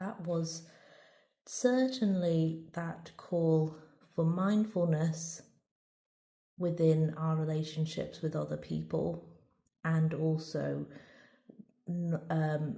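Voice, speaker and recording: Speaking at a very slow pace with long, frequent pauses, a woman with a fairly low pitch, a dark, mellow tone and a somewhat breathy voice keeps her intonation fairly even, with audible room echo. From Merseyside, northern England. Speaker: tarot reader. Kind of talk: tarot reading with read-out guidebook passages. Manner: halting, with many fillers and repeats.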